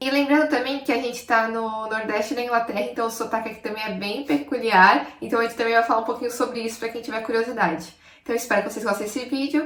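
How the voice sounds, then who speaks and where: A woman's fairly high voice at a very fast pace, hardly any pauses, over noticeable background noise. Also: ordinary pitch variation. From Brazil, São Paulo. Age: 20s. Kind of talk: casual talk to camera.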